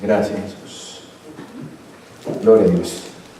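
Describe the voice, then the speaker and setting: A man talks at a fairly slow pace. Background noise is noticeable and room echo is audible. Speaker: pastor. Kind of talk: sermon.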